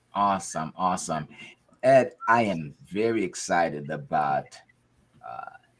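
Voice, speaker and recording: A man speaks at a fairly slow pace with a very deep, low pitch. His intonation is lively, broken by long, frequent pauses. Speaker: podcast host. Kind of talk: interview; casual chat.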